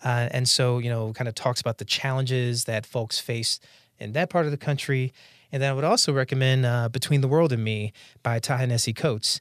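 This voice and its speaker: A man's plain, everyday voice at a medium pitch with an American accent, fairly quick and with fairly even intonation, over a quiet background. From North Carolina, US. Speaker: economist. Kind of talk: interview monologue.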